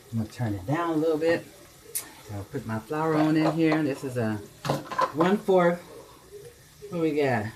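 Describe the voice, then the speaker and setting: Noticeable background noise sits behind a man with a fairly high pitch. He uses lively intonation at a moderate pace. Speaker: home cook. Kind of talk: cooking tutorial. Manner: casual, chatty.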